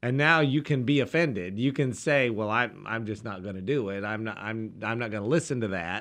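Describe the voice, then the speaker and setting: A man with a plain, everyday voice talks fairly quickly at medium pitch, with ordinary pitch variation, hardly any pauses, and a quiet background. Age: 50s. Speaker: pastor. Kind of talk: religious radio discussion.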